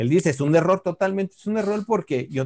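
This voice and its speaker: This man talks with a Mexican accent, and the sound is dry and close, with no echo. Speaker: comedian podcast host. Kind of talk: casual chat.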